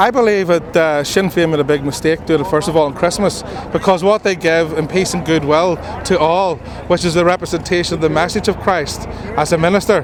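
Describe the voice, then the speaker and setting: There is noticeable background noise as a man with a Northern Irish accent speaks at a fairly quick pace. His pitch is high and his intonation fairly even. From Northern Ireland. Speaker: minister of religion. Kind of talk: street interview.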